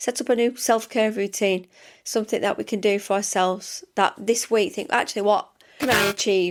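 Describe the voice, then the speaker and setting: A woman with a medium pitch speaks at a moderate pace with ordinary pitch variation. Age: 40s. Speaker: podcast host, self-development mentor. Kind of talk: solo podcast monologue. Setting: home studio. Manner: chatty, conversational.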